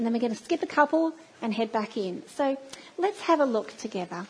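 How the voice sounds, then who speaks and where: With an Australian accent, a woman speaks at a high pitch with very wide pitch swings. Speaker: church speaker. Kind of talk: sermon. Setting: church.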